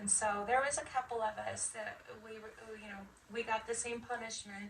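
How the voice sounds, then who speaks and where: With noticeable background noise, a woman with an American accent speaks at a fairly high pitch with ordinary pitch variation. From Las Vegas, with some childhood in Michigan. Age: 50s. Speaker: Air Force veteran. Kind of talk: interview. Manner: hesitant, many fillers.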